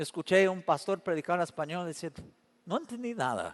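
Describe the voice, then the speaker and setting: Recorded dry and close with no echo, a man talks at a fairly quick pace in a high voice. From Canada. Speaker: pastor. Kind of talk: sermon.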